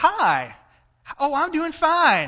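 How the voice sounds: A female-sounding, put-on character voice, high and squeaky, comes in an Arkansas accent. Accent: Arkansas drawl.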